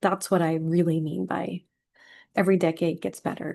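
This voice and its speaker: A woman is speaking. Her tone is dark and mellow. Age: 40s. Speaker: healing and self-care coach. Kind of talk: casual vlog talk.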